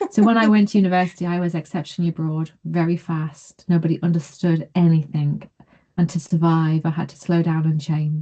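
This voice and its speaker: This somewhat breathy voice has a dark, mellow tone, a fairly quick pace, and fairly even intonation. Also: woman, fairly low pitch for a woman. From northeast England, Consett, County Durham. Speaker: realist evaluation researcher, session host. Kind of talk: webinar Q&A discussion.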